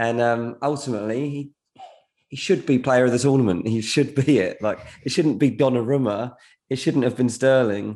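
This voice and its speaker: In an English accent, a man with a dark, mellow tone speaks at a moderate pace with ordinary pitch variation. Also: medium pitch for a man. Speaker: football transfer journalist. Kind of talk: casual chat.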